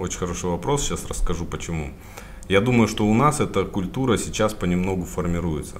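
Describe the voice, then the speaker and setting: A man talks at a very fast pace with a very deep, low pitch and lively intonation. The room echo is audible, and background noise is noticeable. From Kazakhstan, Karaganda. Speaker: retail sales director. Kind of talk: interview.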